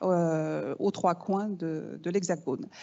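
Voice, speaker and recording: Speaking with a slight Canadian French accent, a woman has a fairly low pitch, ordinary pitch variation and vocal fry. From Canada (Quebec). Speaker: business school executive. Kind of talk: welcome speech. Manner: hesitant, many fillers.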